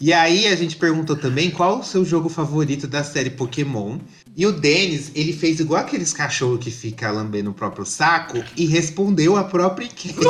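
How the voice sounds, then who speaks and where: Here a man with a fairly high pitch and vocal fry speaks at a moderate pace, his intonation lively and his speech with hardly any pauses. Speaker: podcast host. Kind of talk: casual chat.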